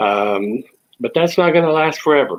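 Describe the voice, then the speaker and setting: With a strong Texan accent, a man talks at a moderate pace with ordinary pitch variation. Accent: thick Texan. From Texas. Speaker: online talk show host. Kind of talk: casual monologue. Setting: at home. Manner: hesitant, many fillers.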